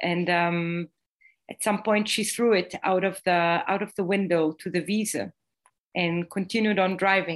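At a fairly slow pace, a woman with an Israeli accent speaks in a medium pitch with fairly even intonation against a quiet background. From Israel, Jerusalem. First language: Hebrew. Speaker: playwright. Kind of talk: interview. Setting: video call. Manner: halting.

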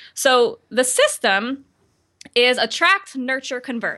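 Against a quiet background, a woman with an American accent and a bright, sharp tone speaks at a fairly slow pace. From Baltimore, Maryland, US. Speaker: online marketing coach. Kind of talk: interview.

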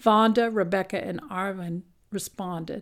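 This woman has a plain, everyday voice at a medium pitch with ordinary pitch variation, recorded very cleanly against a silent background. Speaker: radio host. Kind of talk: news reading.

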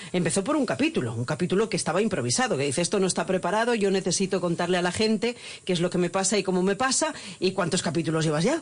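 A woman with medium pitch talks at a very fast pace in an animated tone, with very wide pitch swings and very even loudness. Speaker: radio host. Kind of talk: radio interview. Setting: radio studio.

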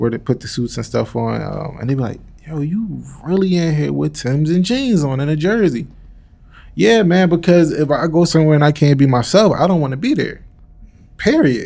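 A normal speaking voice from a man with an American accent, fairly high in pitch, moderate in pace, with lively intonation. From Southwest Philadelphia. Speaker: musician and community leader. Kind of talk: casual chat. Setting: university recreation center.

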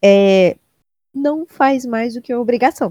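A woman speaks at a moderate pace in a fairly high voice with a dark, mellow tone. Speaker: comedy podcast co-host. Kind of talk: comedic casual chat.

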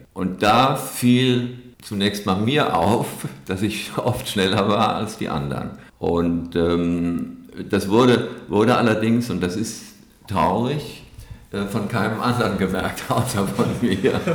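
At a very slow pace and a fairly low pitch, a man speaks with audible room echo and noticeable background noise. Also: ordinary pitch variation. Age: 70s. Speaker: running group founder. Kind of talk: podcast interview. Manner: halting, many fillers.

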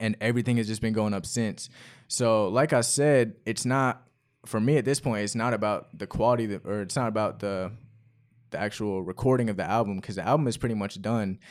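On a very clean recording with a silent background, a man with a plain, everyday voice speaks at a fairly quick pace, medium pitch and fairly even intonation. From North Carolina, US. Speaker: rapper. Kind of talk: casual chat.

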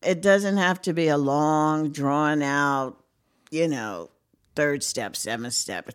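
Lively intonation with an American accent. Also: woman, very clean recording, silent background. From Brooklyn, New York. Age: 60s. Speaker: retiree in recovery. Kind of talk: casual chat.

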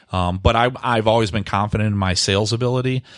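A man with a Michigan accent speaks at a fairly quick pace. His pitch sits fairly low. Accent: Midwestern US (Michigan). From Michigan, Grosse Pointe. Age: 30s. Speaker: real estate agent. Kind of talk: casual chat.

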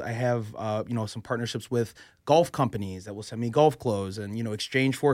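On a very clean recording with a silent background, a man is speaking. He has a medium pitch and an American accent. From Chicago. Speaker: sports blogger. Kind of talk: casual interview.

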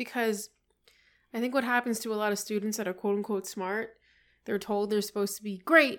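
In a plain, everyday voice, a woman speaks with a fairly high pitch and fairly even intonation. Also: very clean recording, silent background. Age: 20s. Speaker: nurse running for Congress. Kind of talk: casual chat.

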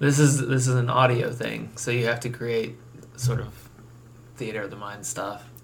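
Over noticeable background noise and audible room echo, a man speaks at a medium pitch and moderate pace. His intonation is monotone and flat, with big swings in loudness. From Nebraska. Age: 20s. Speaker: podcast host, art student. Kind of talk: casual chat. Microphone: earbuds, echoey sound.

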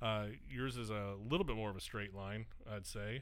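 Speaking at a moderate pace, a man has an unremarkable speaking voice with a fairly low pitch. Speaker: podcast host. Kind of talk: casual interview chat.

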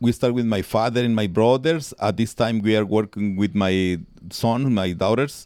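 On a very clean recording with a silent background, a man speaks at a fairly low pitch and a moderate pace. His pitch variation is ordinary and his loudness very even. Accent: Spanish. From Guatemala. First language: Spanish. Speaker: town mayor and coffee farmer. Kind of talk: interview. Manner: halting.

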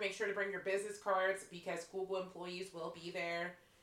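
Someone with a Pittsburgh accent talks at a moderate pace over noticeable background noise. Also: woman. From Western Pennsylvania (Pittsburgh). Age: 30s. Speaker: podcast host. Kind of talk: casual chat. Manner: animated.

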